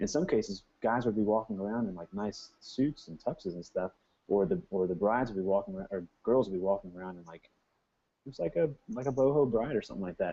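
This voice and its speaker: In an American accent, a man speaks at a very fast pace with a fairly low pitch. His intonation is lively, and his loudness swings widely. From US. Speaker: wedding photographer. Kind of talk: casual interview.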